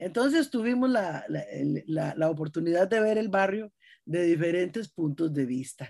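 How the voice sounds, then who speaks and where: A woman speaks at a moderate pace with a Costa Rican accent, her pitch swinging very widely. The recording is very clean, with a silent background. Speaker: writer and storyteller. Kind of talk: interview.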